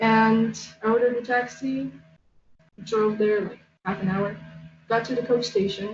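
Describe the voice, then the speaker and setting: With a Polish accent, a woman speaks at a fairly slow pace in a fairly high, somewhat breathy voice with ordinary pitch variation. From Poland. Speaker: artist. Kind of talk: casual chat.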